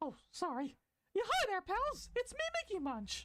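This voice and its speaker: In a squeaky put-on character voice, a woman speaks at an extremely high pitch with very wide pitch swings and a moderate pace. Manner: cheerful.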